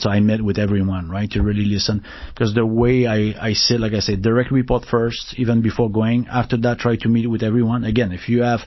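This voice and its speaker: Rattling along at a very fast pace, a man with a French Canadian accent speaks in a monotone, flat intonation. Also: medium pitch for a man. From Quebec, Canada. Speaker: tech executive. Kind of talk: interview. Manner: halting.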